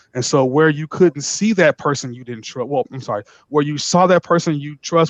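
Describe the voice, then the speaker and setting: Loud and fairly high-pitched, a man speaks at a moderate pace with ordinary pitch variation in a dry, close sound with no echo. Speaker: lawyer. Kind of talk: panel discussion. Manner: halting, repeats words.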